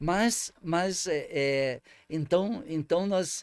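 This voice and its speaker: On a very clean recording with a silent background, a man with a fairly high pitch uses lively intonation, and the sound is dry and close with no echo. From southern Brazil, Paraná/Santa Catarina border region. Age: 60s. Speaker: former mayor. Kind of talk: interview. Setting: studio. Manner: halting, many repetitions and fillers.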